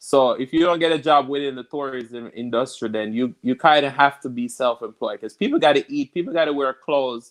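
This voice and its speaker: With a Jamaican accent, a man talks at a fairly quick pace with hardly any pauses and ordinary pitch variation, the sound dry and close with no echo. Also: fairly high pitch for a man. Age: 20s. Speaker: cook and food reviewer. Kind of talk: casual chat. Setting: livestream.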